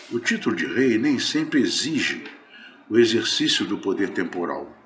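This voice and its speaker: A man speaks at a very slow pace, with audible echo in the room. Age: 70s. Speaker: spiritist lecturer. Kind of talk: religious lecture.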